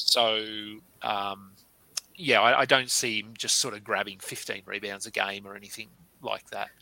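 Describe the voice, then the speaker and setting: Pausing often and at length, a man speaks at a fairly low pitch in a bright, sharp tone. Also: fairly even intonation, moderate pace, big swings in loudness. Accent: Australian. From Australia. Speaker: fantasy basketball podcast host. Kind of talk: casual interview.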